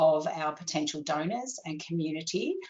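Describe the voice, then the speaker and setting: Here a woman speaks with an Australian accent. Her pace is fairly slow. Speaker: copywriter and webinar presenter. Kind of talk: webinar presentation. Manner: animated.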